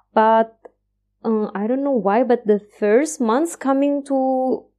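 The tone is dark and mellow, in an Indonesian accent. Pitch varies in an ordinary way. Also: woman. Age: 30s. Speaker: PhD researcher in biotechnology. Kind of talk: interview. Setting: video call. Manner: hesitant, many fillers.

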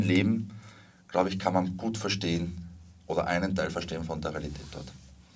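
Very deep, low male speech at a fairly quick pace, with audible room echo. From Spain and Salzburg, Austria. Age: 30s. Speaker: documentary filmmaker and activist. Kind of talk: interview.

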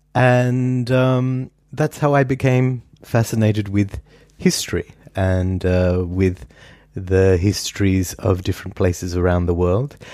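Speaking with an Australian accent, a man uses a fairly low voice with ordinary pitch variation, very even loudness, and a fairly slow pace. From Perth, Western Australia. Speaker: historian. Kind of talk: interview.

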